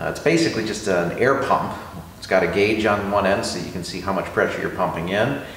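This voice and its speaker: The speech comes at a fairly quick pace, with audible room echo and light background noise. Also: man. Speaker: car hobbyist host. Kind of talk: tutorial. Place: garage. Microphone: camera far.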